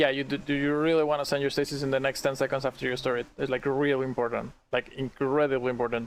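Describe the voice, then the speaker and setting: A man with a non-native accent and medium pitch speaks at a very fast pace with hardly any pauses. His intonation is monotone and flat, his loudness very even, and the background quiet. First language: not English. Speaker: streamer. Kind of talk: casual chat.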